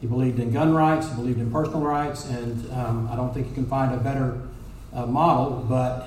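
A man with a Texan accent talks at a fairly quick pace and medium pitch, with fairly even intonation. The room echo is audible, and background noise is noticeable. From Texas, North Dallas. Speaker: judicial candidate, lawyer. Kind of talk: campaign speech.

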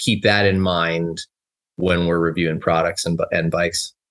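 Talking at a moderate pace, a man speaks with an American accent. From US, Southern California (Los Angeles). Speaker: mountain bike media founder. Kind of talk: casual interview chat.

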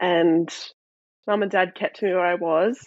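At a moderate pace, a woman speaks with fairly low pitch and ordinary pitch variation. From South Australia. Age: 20s. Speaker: mental health speaker. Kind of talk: interview, personal testimony.

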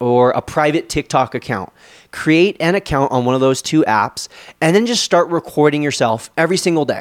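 A man with an unremarkable speaking voice talks at a moderate pace and fairly high pitch with ordinary pitch variation. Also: dry, close sound with no echo. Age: 20s. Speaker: podcast host, social media coach. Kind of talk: Q&A solo podcast.

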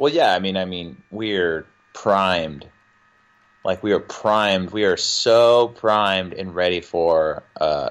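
Speaking with an American accent, a man uses a very deep, low pitch. His pace is fairly slow and his pitch varies in an ordinary way. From US South. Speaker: musician and podcaster. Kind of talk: casual chat.

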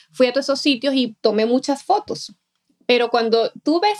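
Lively intonation colors speech delivered at a moderate pace. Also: woman. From Venezuela. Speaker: laughter therapist and life coach. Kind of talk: interview conversation.

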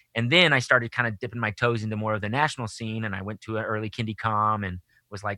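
A man with an American accent and a fairly low pitch talks at a very fast pace in a bright, sharp tone, recorded very cleanly against a silent background with a dry, close sound and no echo. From Texas, Austin. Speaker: children's musician. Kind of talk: casual interview chat.

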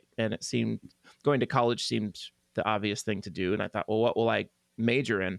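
With vocal fry and fairly low pitch, a man speaks very fast with fairly even intonation, the sound dry and close with no echo. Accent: American. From Oklahoma (Tulsa). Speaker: pianist and composer. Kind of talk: interview conversation.

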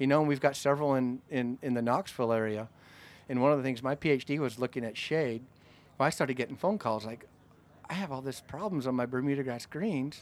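In a Canadian accent, a man with a plain, everyday voice and medium pitch speaks at a fairly quick pace with ordinary pitch variation, on a very clean recording with a silent background. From Canada, Calgary, Alberta. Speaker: turfgrass professor. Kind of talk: interview. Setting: outdoors at field day event.

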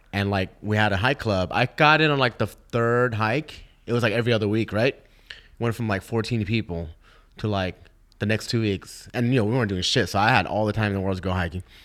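At a fairly quick pace, a man with an unremarkable speaking voice talks at a fairly low pitch with ordinary pitch variation. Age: 40s. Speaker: podcast co-host, DJ. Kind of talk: casual chat.

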